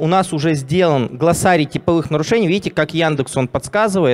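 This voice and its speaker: A man at a fairly high pitch with an unremarkable speaking voice, moderate in pace, his pitch varying in an ordinary way. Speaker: software company CEO. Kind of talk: live product demo. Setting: stage with audience. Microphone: handheld.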